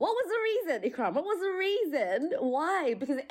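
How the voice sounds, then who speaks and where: A woman speaks with an Australian accent. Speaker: podcast co-host. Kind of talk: casual chat.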